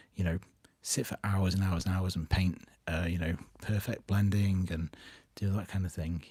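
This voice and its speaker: Quiet and somewhat breathy, a man with a British accent speaks at a very deep, low pitch in a dark, mellow tone, keeping a fairly even intonation and leaving long, frequent pauses. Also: moderate pace, very clean recording, silent background. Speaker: miniature painting youtuber. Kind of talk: live stream update.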